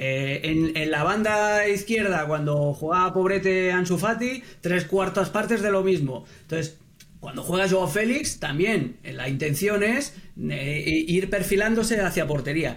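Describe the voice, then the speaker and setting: A man with a Castilian accent, high in pitch, with ordinary pitch variation and a fairly slow pace. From Catalonia, Spain. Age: 40s. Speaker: football pundit. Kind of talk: podcast interview.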